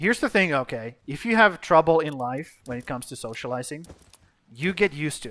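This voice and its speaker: Speaking with a Finnish accent, a man uses a fairly high pitch and a bright, sharp tone. His pace is fairly quick, his intonation lively, and his loudness swings widely. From Finland. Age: 30s. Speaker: gaming streamer. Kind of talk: live stream commentary.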